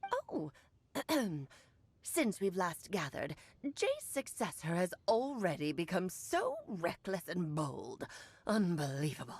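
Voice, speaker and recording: A woman's put-on character voice at medium pitch, fairly slow, with long, frequent pauses. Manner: imperious, scornful.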